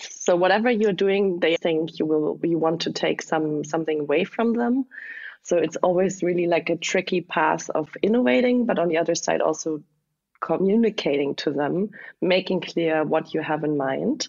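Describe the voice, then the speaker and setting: With a German accent, a woman speaks at a moderate pace in a fairly low pitch, with ordinary pitch variation and very even loudness. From southwest Germany. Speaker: startup founder. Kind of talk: interview.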